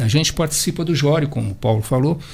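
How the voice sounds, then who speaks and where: With very wide pitch swings, a man talks in a fairly high, somewhat breathy voice. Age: 70s. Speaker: marathon runner. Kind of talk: radio round-table discussion. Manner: halting.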